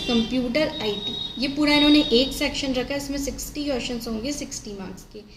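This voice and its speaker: Noticeable background noise is present. Over it, a woman with a high pitch speaks with fairly even intonation. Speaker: bank exam guidance youtuber. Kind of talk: casual talk to camera. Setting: damaged microphone, poor audio quality.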